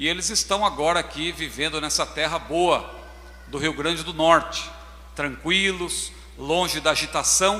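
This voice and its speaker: There is noticeable background noise behind this man. He speaks at a fairly slow pace. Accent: São Paulo. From Brazil, São Paulo. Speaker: pastor. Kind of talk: sermon. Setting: church.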